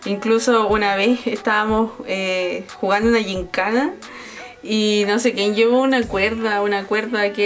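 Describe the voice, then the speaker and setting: With a Chilean accent, a woman speaks at a moderate pace and fairly high pitch in a flat monotone with very even loudness, over noticeable background noise. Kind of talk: casual chat.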